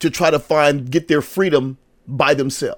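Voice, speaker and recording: A man with an American accent, fairly high pitch, and a fairly slow pace. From United States. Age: 60s. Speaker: pastor. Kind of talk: sermon. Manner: halting.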